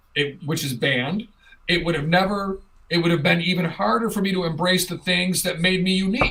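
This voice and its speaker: Noticeable background noise sits behind a man with a high pitch. He talks at a fairly quick pace with ordinary pitch variation. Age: 50s. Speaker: talk show host. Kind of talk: casual chat.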